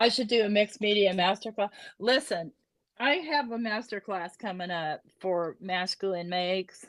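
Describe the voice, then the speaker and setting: In a very clean recording with a silent background, a woman with a normal speaking voice talks at a moderate pace with ordinary pitch variation. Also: medium pitch for a woman, dry, close sound with no echo. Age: 60s. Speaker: crafter, retired. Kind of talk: casual chat. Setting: video livestream.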